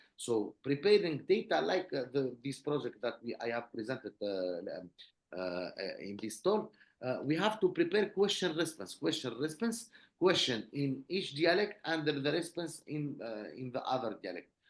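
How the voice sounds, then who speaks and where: There is vocal fry in this man's fairly high voice, and his pitch swings very widely. He speaks at a moderate pace. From Tunisia. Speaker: researcher. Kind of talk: Q&A answer at online conference. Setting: video call. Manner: halting.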